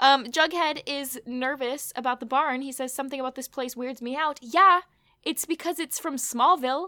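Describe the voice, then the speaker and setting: A woman's high-pitched, raised and projected voice, bright and sharp in tone, at a moderate pace with big swings in loudness, in a dry, close recording with no echo. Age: 20s. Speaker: podcast host. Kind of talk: casual recap chat.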